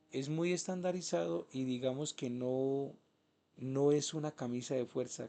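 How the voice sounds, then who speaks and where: A man's medium-pitched voice carries a dark, mellow tone and ordinary pitch variation. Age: 30s. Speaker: spiritual teacher. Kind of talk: lecture.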